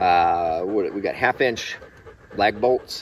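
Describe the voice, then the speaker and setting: A man speaks over noticeable background noise. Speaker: homesteader vlogger. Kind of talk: casual vlog narration.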